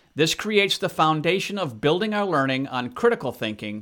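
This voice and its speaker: A man's bright, sharp voice with an American accent, moderate pace and very wide pitch swings. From Democratic Republic of Congo (American missionary kid). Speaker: podcast host. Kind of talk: scripted narration.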